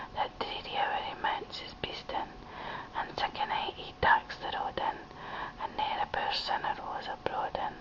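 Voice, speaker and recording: Whispering with a Scottish accent, the speaker goes at a fairly slow pace over noticeable background noise. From Scotland. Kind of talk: poetry reading. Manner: whispered.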